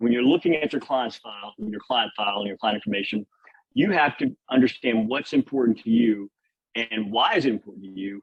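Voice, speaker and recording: A man talks at a fairly quick pace with a Louisiana accent. His pitch is medium, with ordinary variation. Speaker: insurance industry speaker. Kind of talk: webinar presentation. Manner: fast; slightly slurred from Invisalign.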